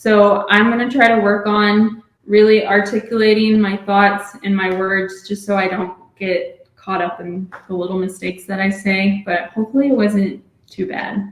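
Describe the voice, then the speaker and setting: A woman speaks with an American accent and hardly any pauses. Her intonation is monotone and flat. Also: medium pitch for a woman, moderate pace. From Texas. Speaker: PA school applicant. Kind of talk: casual chat. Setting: video call at home. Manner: stutters when nervous; clear.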